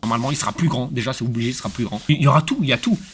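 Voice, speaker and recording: An animated man talks at a very fast pace with ordinary pitch variation. Noticeable background noise runs underneath. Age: 20s. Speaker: streamer. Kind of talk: casual live stream chat. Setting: streaming studio.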